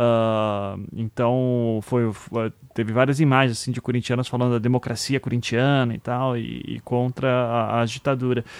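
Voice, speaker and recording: The man's delivery comes at a fairly slow pace. Monotone, flat intonation marks his speech. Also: medium pitch for a man. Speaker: podcast host. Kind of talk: casual political discussion.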